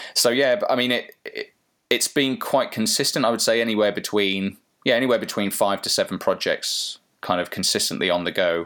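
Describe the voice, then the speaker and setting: A man speaks at a fairly quick pace in an English accent. The recording is very clean, the background silent. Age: 30s. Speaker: virtual reality agency founder. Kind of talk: casual interview.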